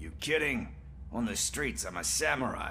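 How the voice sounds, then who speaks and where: Against clear background noise, a man performs a put-on character voice. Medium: video game. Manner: casual, breezy.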